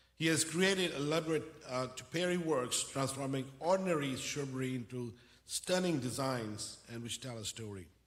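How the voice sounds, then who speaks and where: A man talks with lively intonation at a moderate pace. There is noticeable noise behind him. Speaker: university dean. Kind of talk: formal welcome speech. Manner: formal.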